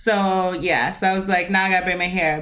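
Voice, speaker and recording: This woman has a medium pitch. Audible room echo is present. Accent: American. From US West, Las Vegas. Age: 20s. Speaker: podcast co-host. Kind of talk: casual chat.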